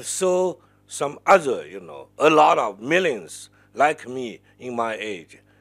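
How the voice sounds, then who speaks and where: The recording is very clean, with a silent background. A man is the speaker. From China. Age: 60s. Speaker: professor. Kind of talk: panel conversation. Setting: seminar with audience. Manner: halting, repetitive.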